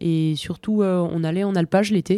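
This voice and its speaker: Speaking at a fairly slow pace, a woman uses a medium pitch and a dark, mellow tone. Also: very clean recording, silent background. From French Alps, Bauges massif (Savoie). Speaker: mountain guide and ski patroller. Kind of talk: interview.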